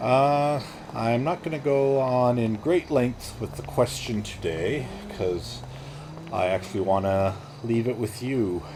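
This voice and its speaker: Over noticeable background noise, a man with a medium pitch talks at a fairly slow pace with lively intonation. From Canada. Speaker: video game streamer. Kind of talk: casual gameplay commentary. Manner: relaxed, with frequent fillers.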